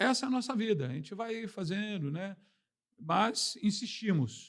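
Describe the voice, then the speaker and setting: A man talks at a fairly slow pace with a high pitch and lively intonation. His loudness swings widely. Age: 60s. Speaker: veteran journalist. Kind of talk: interview. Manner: animated.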